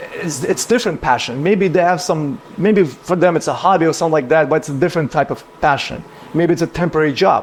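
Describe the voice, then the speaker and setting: Noticeable background noise surrounds a man talking at a very fast pace. His pitch is high. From Ukraine. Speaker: business owner. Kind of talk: casual chat.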